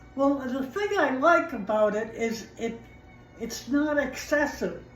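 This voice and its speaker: Music plays in the background as a woman speaks at a fairly slow pace. Her pitch is high and her intonation lively. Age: 80s+. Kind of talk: interview answer. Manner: hesitant, halting.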